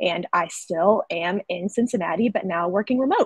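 Against a quiet background and with a dry sound and no echo, a woman speaks at a moderate pace with a Southern US accent and ordinary pitch variation. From US South, North Carolina. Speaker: sales rep, former graphic designer; sales rep. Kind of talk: webinar presentation. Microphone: webcam.

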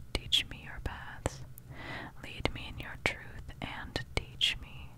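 Someone whispers very slowly and softly. The sound is dry with no echo, but loud background noise is present. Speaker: scripture reader. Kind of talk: reading scripture aloud. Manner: very soft ASMR whisper reading.

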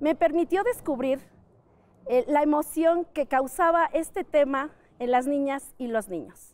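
A woman speaking at a very slow pace. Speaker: teacher. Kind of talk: interview. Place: street. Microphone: lapel.

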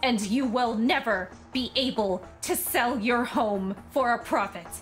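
Music plays in the background as a woman with a fairly high pitch speaks very slowly, her pitch varying in an ordinary way. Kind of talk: comedic game parody voiceover. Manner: natural own voice, not lowered.

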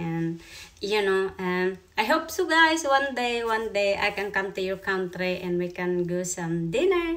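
A woman speaks fairly slowly, her intonation lively. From Philippines. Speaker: YouTuber. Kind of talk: casual vlog. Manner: halting. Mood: warm, friendly. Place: home room. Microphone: phone near.

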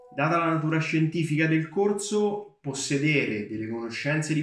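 Audible room echo surrounds a man talking at a fairly slow pace. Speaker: university student. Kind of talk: testimonial.

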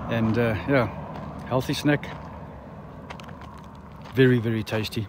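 Recorded dry with no echo but noticeable background noise, a man speaks with fairly even intonation. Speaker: road-trip vlogger selling dried fruit. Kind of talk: casual vlog chat. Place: open country. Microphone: phone near.

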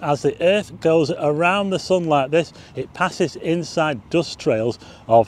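A man at a moderate pace with ordinary pitch variation and a dry sound with no echo. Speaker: presenter. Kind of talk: tutorial. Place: open country.

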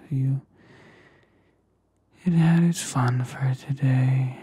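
A soft-spoken, somewhat breathy man with a soothing tone, in a dry sound with no echo. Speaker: ASMR creator. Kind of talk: soft affirming ASMR talk. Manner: slow soothing soft-spoken murmur. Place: home room. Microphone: studio mic.

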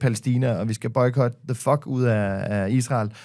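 A man speaks over a quiet background. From Denmark. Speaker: podcaster and media personality; podcaster. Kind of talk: casual chat. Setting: studio. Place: studio. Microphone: studio mic.

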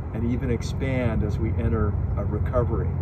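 A man talks at a moderate pace through loud background noise. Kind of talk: prepared public statement. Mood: upbeat, earnest. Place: open country.

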